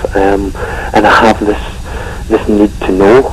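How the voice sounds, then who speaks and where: A man with a Scottish accent amid noticeable background noise. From Scotland. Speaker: paranormal investigator. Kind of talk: radio interview.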